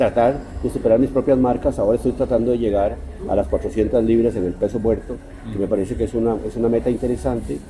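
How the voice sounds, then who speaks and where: A man with a medium-pitched voice talks very fast with ordinary pitch variation over noticeable background noise. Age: 60s. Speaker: writer. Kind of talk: interview.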